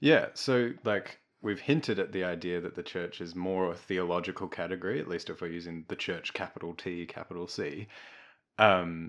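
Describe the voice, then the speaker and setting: Over a very clean recording with a silent background, a man with an Australian accent speaks at a moderate pace in a very deep, low pitch. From Melbourne, Australia. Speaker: podcast host. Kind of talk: scripted outro; casual discussion.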